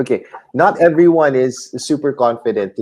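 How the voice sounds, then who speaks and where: A man with a Filipino accent at a fairly slow pace. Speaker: YouTube host, aspiring author. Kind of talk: interview.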